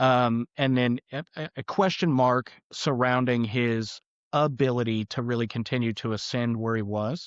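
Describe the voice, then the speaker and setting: At a moderate pace and with fairly even intonation, the voice has a dry, close sound with no echo and a quiet background. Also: man, medium pitch for a man. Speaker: auto repair shop owner. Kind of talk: podcast interview. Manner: loud; halting, many restarts.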